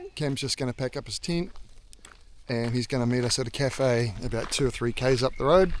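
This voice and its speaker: This man speaks fairly quickly in a New Zealand accent. His pitch is medium, with ordinary variation. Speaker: hiker vlogger. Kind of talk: travel vlog. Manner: casual, hesitant with ums; whispering.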